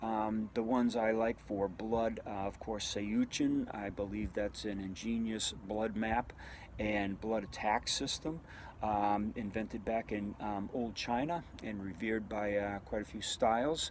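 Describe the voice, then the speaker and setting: A man with a fairly low pitch talks at a fairly slow pace. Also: fairly even intonation. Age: 60s. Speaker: martial arts instructor. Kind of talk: casual monologue answering a viewer question. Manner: halting, many fillers.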